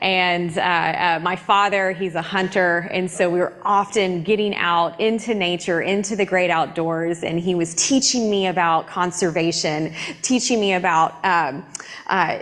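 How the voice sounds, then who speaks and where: In a Southern US accent, a woman of medium pitch speaks at a fairly slow pace with very even loudness and fairly even intonation, amid audible room echo and noticeable background noise. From US South, East Tennessee. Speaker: climate scientist and church planter. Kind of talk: church talk. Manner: halting, many fillers.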